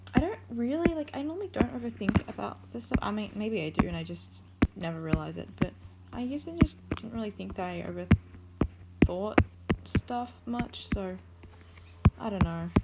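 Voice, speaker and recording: A woman at a moderate pace, with long, frequent pauses, big jumps in loudness, and noticeable background noise. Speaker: art streamer. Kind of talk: casual chat. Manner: hesitant, many fillers.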